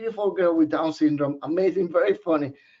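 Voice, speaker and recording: Lively intonation marks this man's fairly high voice. He speaks at a fairly quick pace. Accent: Puerto Rican. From Puerto Rico, San Juan. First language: Spanish. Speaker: professor. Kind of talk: webinar presentation. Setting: online webinar. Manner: casual, conversational.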